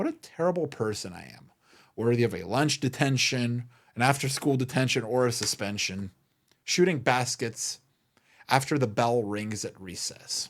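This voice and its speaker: Very clean, silent-background recording of a man at medium pitch and moderate pace, with ordinary pitch variation. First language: not English. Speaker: podcast host and memorabilia business owner. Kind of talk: solo podcast monologue.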